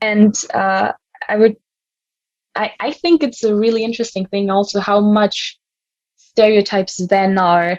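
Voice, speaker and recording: The sound is dry and close with no echo. The pace is moderate, and the intonation is fairly even. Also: woman. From Germany. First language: German. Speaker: youth volunteer. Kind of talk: podcast discussion. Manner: halting.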